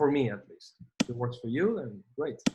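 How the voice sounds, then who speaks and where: A man with a Spanish accent talks at a moderate pace with lively intonation and a somewhat breathy voice. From Spain. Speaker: gaming vlogger. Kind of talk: gameplay commentary. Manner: casual, hesitant with fillers.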